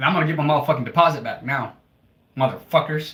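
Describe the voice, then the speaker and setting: A man at a fairly high pitch and a fairly quick pace. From US Midwest, Toledo, Ohio. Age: 20s. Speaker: livestreamer. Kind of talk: casual livestream chat.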